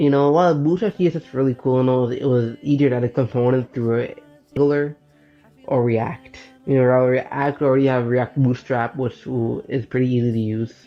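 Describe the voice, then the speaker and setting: Music sits in the background. The speaker talks at a fairly quick pace. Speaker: web developer vlogger. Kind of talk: casual vlog talk. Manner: halting.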